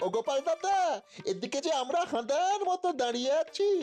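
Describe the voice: A cartoonish character voice moves at a moderate pace with clear music in the background.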